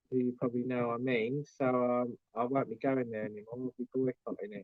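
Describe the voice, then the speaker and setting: A man speaks with an English accent. His intonation is monotone and flat. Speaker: YouTuber vlogger. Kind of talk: live stream chat.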